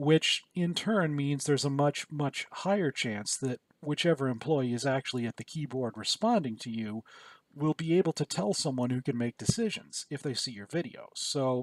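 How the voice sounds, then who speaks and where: A man with a Michigan accent speaks at a moderate pace, fairly high in pitch with lively intonation. The recording is very clean, with a silent background and a dry, close sound with no echo. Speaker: YouTuber. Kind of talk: casual vlog commentary.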